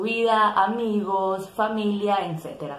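A woman is speaking. There is audible room echo. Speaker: tarot content creator. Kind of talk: casual vlog chat. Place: home room. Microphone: phone near.

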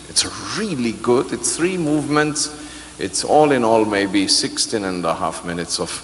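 Very wide pitch swings run through a man's fairly slow delivery. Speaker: orchestra conductor. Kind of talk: pre-concert interview. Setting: stage with audience. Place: hall. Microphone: handheld.

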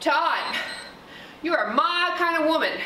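A raised, projected voice carries a bright, sharp tone. Audible room echo and light background noise surround it. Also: woman. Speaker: fitness instructor. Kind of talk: workout instruction. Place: gym.

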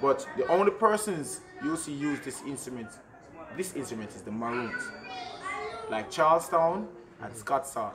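A man speaks at a moderate pace with lively intonation. There is noticeable background noise. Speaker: drummer and reggae musician; cultural guide explaining drums. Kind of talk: interview explaining traditional drums. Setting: outdoors at a community yard. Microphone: camera far.

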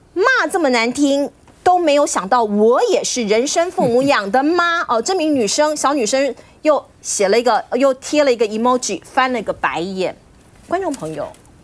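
In a Taiwanese accent, a woman speaks at a moderate pace with an animated tone, high pitch and very wide pitch swings. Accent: Taiwanese Mandarin. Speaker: TV news talk show host. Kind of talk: TV political talk show. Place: studio.

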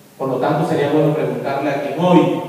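Amid strong room echo, a man speaks at a moderate pace with fairly even intonation. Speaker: politician at a press conference. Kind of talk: political statement to the press. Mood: indignant, accusatory. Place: meeting room. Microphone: camera far.

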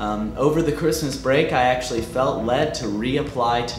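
Faint background music behind a man speaking at a medium speed. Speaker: student vlogger. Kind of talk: casual vlog update. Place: studio.

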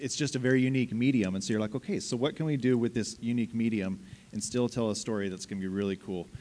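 The speaker is a man. His voice has ordinary pitch variation. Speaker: game writer. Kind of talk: convention panel talk. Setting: stage with audience. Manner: animated. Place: hall. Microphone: handheld.

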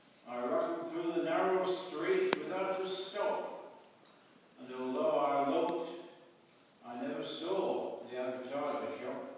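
Delivered at a very slow pace, the speech carries strong room echo and light background noise. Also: man. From England, East Midlands. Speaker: poetry reader at church event. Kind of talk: poetry reading. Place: church. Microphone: camera far.

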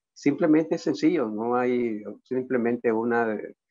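Here a man speaks slowly at a medium pitch. His tone is slightly mellow, and his pitch varies in an ordinary way.

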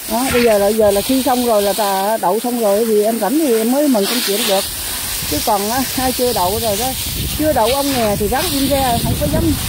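Over loud background noise, a woman talks at a fairly quick pace in a dry sound with no echo. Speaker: vlogger. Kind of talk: casual monologue vlog. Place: garden. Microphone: phone near.

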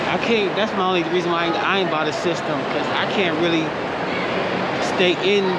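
Loud noise runs through the background. Over it, a man speaks fairly quickly. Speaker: vlogger. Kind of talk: casual vlog chat. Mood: joking, relaxed. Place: market. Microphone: phone near.

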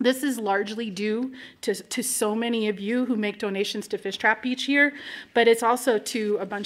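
The woman speaks at a moderate pace. Her intonation stays fairly even. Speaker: nonprofit executive director, event host. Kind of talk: welcome and introduction to live event. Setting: stage with audience. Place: hall. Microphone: podium.

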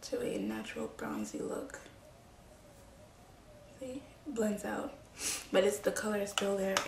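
Long, frequent pauses break up a woman's fairly slow speech. Noticeable background noise can be heard throughout. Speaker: beauty vlogger. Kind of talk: casual talk to camera.

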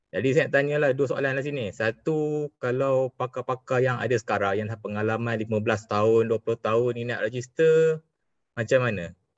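In a normal speaking voice, a man talks at a moderate pace and a medium pitch. His pitch varies in an ordinary way over a quiet background. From Malaysia. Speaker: engineer, webinar participant. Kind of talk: audience question. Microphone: video call.

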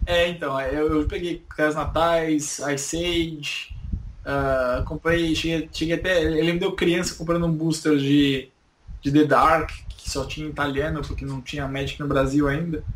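A man speaks at a fairly high pitch and a fairly slow pace. His intonation is monotone and flat, with noticeable background noise. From Brazil, São Paulo. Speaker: YouTuber. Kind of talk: interview.

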